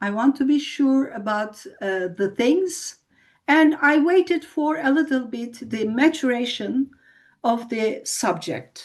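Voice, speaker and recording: The speaker has a non-native accent, lively intonation and a very slow pace, with a quiet background behind them. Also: woman, high pitch for a woman. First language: not English. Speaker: spiritual group leader. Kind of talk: live broadcast talk. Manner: halting.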